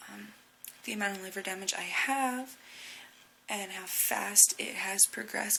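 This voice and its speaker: Noticeable noise runs in the background. Over it, a woman whispers. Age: 20s. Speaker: recovering drug user. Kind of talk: casual talk to camera.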